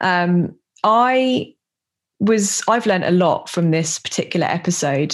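This voice has a British accent and comes through on a very clean recording with a silent background. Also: woman. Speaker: podcast host. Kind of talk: podcast intro and outro monologue.

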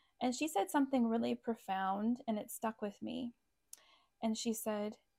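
Recorded very cleanly against a silent background, with a dry, close sound and no echo, a woman with a fairly high pitch and a dark, mellow tone speaks at a moderate pace, her pitch varying in an ordinary way. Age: 30s. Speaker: business owner and rug hooking hobbyist. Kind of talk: casual chat.

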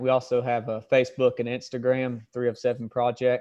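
A man with a Southern US accent talks at a moderate pace in a medium pitch. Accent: Southern US (Georgia). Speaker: former police officer. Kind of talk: interview conversation.

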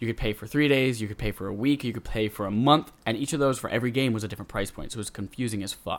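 A man talks at a very fast pace with hardly any pauses. His pitch sits at a medium level. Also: ordinary pitch variation. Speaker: gaming podcast host. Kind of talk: casual chat. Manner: animated.

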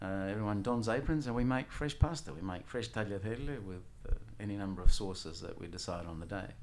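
With audible room echo, a man with a fairly low pitch and lively intonation talks at a very fast pace, his loudness swinging widely. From Sicily, Italy, raised partly in Australia. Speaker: tour guide and former Italian lecturer. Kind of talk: interview.

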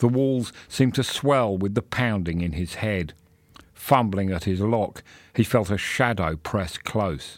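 On a very clean recording with a silent background, a man speaks fairly slowly. His is an ordinary speaking voice, fairly low in pitch. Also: ordinary pitch variation. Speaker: audiobook narrator reading a short story. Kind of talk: dramatic audiobook-style narration of a gothic horror story, with character voices. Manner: brooding, hushed and suspenseful, with a slow pace and menacing hissed lines.

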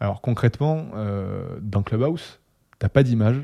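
In a Toulouse accent, a man talks at a fairly slow pace with a dark, mellow tone and ordinary pitch variation, recorded dry and close with no echo against a very clean, silent background. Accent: southern French (Toulouse). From Toulouse, southwest France. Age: 20s. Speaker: HR and marketing worker, podcast co-host. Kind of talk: casual chat.

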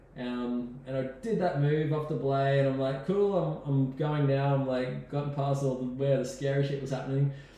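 With an Australian accent, a man speaks in a fairly even tone over noticeable background noise and audible room echo. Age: 40s. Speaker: rock climber. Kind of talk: casual interview storytelling. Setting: host's home.

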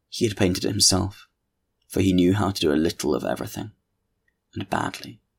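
A man speaks with a very deep, low voice. Vocal fry runs through his speech. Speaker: audiobook narrator. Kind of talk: dramatic literary narration, read aloud with theatrical gravity. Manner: measured, sardonic, ornate delivery that relishes the villainous descriptions; wry, playful in the intro.

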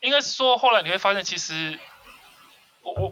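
A man's high-pitched, raised and projected voice at a very fast pace. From Taiwan, Kaohsiung. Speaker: podcast co-host. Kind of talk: casual chat.

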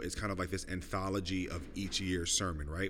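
This man has a very deep, low-pitched voice. Audible room echo surrounds his speech. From New York City (Brooklyn). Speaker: pastor. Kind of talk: casual interview. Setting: at a festival.

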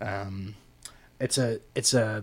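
Recorded very cleanly against a silent background, a man speaks at a fairly low pitch with ordinary pitch variation. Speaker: podcast host and recording studio engineer. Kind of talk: casual interview chat. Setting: studio. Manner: hesitant, filler-heavy, relaxed.

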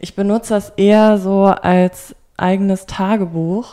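A woman speaks with monotone, flat intonation. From Rhineland, Germany (Bonn). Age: 20s. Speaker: fashion journalism student. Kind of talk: interview. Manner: hesitant, many fillers.

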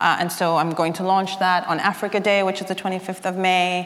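With noticeable background noise and audible room echo, a woman speaks at a medium pitch in a monotone, flat intonation. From South African exile family, grew up in Zambia and abroad. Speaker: writer. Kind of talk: interview at a live literary event. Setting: stage with audience.

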